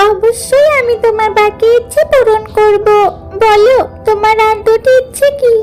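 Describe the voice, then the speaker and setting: A woman's cartoonish character voice, extremely high and fairly slow, over light background noise. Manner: gentle, generous.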